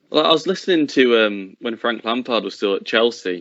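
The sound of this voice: A man speaks at a fairly quick pace and a medium pitch. His tone is fairly bright, and his intonation is lively.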